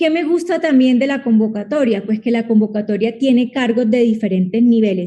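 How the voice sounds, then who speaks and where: A woman with a Colombian Caribbean accent speaks at a moderate pace, her pitch fairly high and her tone dark and mellow. Her pitch varies in an ordinary way. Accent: Colombian Caribbean coastal Spanish. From Colombia, Caribbean coast. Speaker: lawyer and public-sector competition advisor. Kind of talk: online talk / Q&A webinar. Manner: animated.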